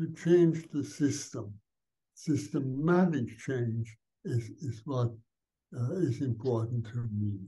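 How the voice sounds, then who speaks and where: Over a quiet background, a man speaks very slowly in a dark, mellow, somewhat breathy voice with ordinary pitch variation. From Austria. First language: German. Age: 80s+. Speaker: Benedictine monk, spiritual teacher. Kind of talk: interview answer. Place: home room. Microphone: video call.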